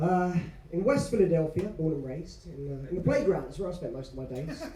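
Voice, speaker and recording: Audible room echo surrounds a dark, mellow voice with an English accent. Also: man. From England. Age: 30s. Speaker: business owner and speaker. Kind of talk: motivational talk. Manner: soft-spoken.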